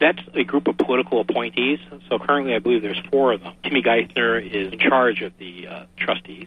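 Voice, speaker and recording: With an American accent and a medium pitch, a man talks at a fairly quick pace with lively intonation and big swings in loudness over noticeable background noise. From Massachusetts, Boston area. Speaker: engineering manager and independent researcher. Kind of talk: radio interview.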